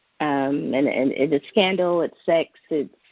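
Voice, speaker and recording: This woman has a very deep, low pitch and vocal fry, speaking with an American accent. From Sacramento, Northern California. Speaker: novelist. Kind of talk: interview. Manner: casual, many fillers.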